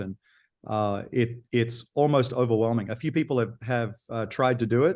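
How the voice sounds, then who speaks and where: The speaker has an Australian accent, heard against a quiet background. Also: man. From Australia (Sydney). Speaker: auction company founder. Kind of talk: interview. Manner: halting.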